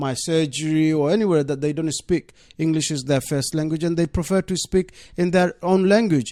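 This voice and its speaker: Dry and close with no echo, a man's voice sits fairly high and has a dark, mellow tone. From Bangladesh. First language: Bengali. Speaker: deputy mayor. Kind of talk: radio interview. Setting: radio studio.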